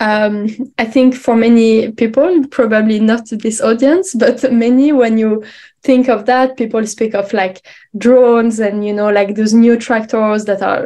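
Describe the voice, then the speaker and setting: A woman with a French accent speaks at a fairly slow pace in a fairly high pitch, with a dark, mellow tone and fairly even intonation. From France, Paris. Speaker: researcher. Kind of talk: conference presentation. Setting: online symposium. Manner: hesitant, many fillers.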